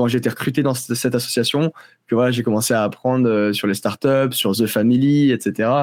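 This is an unremarkable speaking voice from a man at medium pitch. He keeps a moderate pace and fairly even intonation. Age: 20s. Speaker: agency co-founder and CEO. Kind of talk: interview.

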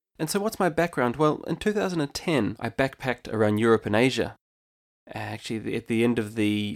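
On a very clean recording with a silent background, a man of medium pitch speaks at a fairly quick pace with a New Zealand accent. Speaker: podcast host and entrepreneur. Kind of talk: scripted podcast intro, monologue.

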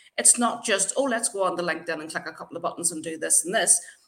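A woman speaks with an Irish accent. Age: 50s. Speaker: LinkedIn brand builder. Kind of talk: casual interview.

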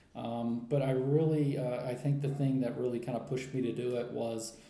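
An American accent from a man at a medium pitch, with audible room echo and noticeable background noise. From US. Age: 40s. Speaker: writer and traveler. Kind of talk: interview. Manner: halting, with many fillers.

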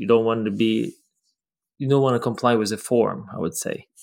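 Someone with a Ukrainian accent speaks at a fairly quick pace with fairly even intonation. The recording is very clean, with a silent background. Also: man. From Ukraine, Lviv. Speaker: professional ballroom dancer. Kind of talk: casual interview. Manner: halting.

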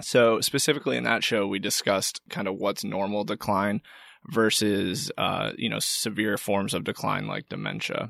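On a very clean recording with a silent background, a man speaks at a moderate pace in a normal speaking voice, fairly low in pitch. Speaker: financial advisor and podcast co-host. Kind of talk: podcast interview.

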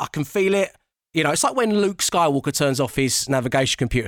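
Delivered at a very fast pace with lively intonation, the speech has a dry, close sound with no echo and comes from a very clean recording with a silent background. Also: man. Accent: London. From Southeast London. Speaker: radio DJ and TV presenter. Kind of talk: casual interview chat.

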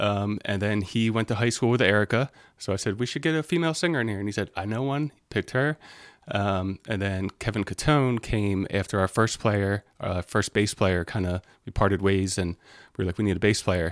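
With an American accent, a man talks at a fairly quick pace in an unremarkable speaking voice, fairly low in pitch with ordinary pitch variation, the sound dry and close with no echo on a very clean recording with a silent background. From Delaware, US. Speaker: musician. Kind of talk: casual chat.

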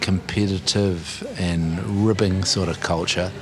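Very slowly and with fairly even intonation, a man in a New Zealand accent speaks at a fairly low pitch, with audible room echo and noticeable background noise. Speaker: commentator on masculinity. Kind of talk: interview.

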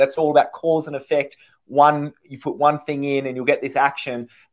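On a very clean recording with a silent background, a man with an Australian accent talks fairly quickly in a fairly high voice. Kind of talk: casual interview chat.

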